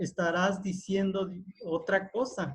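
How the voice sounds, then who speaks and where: A man talks at a high pitch with a Veracruz accent. His pace is very slow. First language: Totonac (speaking Spanish). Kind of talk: panel discussion. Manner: halting, many fillers.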